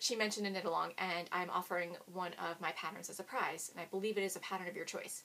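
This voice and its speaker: Her pitch sits in the medium range for a woman, with ordinary variation. She speaks at a fairly quick pace. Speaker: knitting podcaster. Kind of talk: casual podcast chat. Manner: fast.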